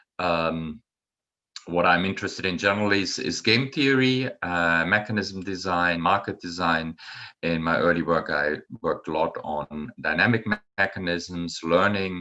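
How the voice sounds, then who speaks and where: A man with a German accent speaks in a very deep, low pitch with a bright, sharp tone, on a very clean recording with a silent background. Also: ordinary pitch variation, moderate pace. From Germany, Bonn area. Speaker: professor. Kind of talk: lecture. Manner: halting, many fillers.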